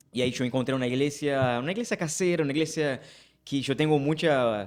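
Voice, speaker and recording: A man with a Brazilian accent, fairly high pitch, ordinary pitch variation and a very fast pace, in a very clean recording with a silent background. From Brazil, Rio de Janeiro. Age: 20s. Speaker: pastor. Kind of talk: casual chat.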